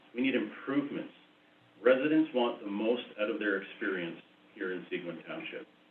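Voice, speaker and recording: A man at medium pitch and a fairly quick pace, with audible room echo. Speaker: township chief administrator. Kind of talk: budget presentation at council meeting. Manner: hesitant with many fillers.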